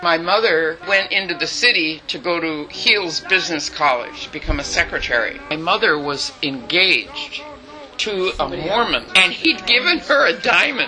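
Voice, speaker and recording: A woman with an American accent speaks in a fairly low pitch with very wide pitch swings. Noticeable background noise is present. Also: moderate pace. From US West, San Jose, California. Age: 80s+. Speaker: family elder telling her life story. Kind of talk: family storytelling interview.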